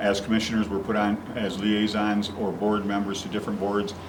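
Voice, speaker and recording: Noticeable noise sits in the background. The room gives an audible echo. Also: man. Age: 60s. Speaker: county commissioner. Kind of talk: interview.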